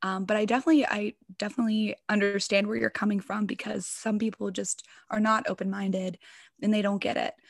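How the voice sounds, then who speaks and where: A woman with an American accent, somewhat breathy, at a very fast pace, in a dry, close sound with no echo. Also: medium pitch for a woman, ordinary pitch variation. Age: 20s. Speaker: ASMR content creator. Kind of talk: casual interview chat. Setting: remote call.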